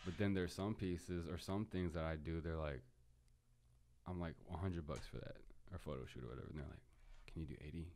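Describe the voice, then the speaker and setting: In an American accent, a man speaks at a fairly quick pace with a very deep, low pitch. His tone is dark and mellow, and his pitch varies in an ordinary way. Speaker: photographer, videographer and rapper. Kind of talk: casual chat.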